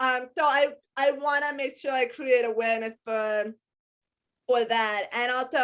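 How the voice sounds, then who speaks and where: Recorded very cleanly against a silent background, a woman with an American accent speaks in a high pitch. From US. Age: 30s. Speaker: hip-hop dancer, wrestler and speaker. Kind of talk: interview.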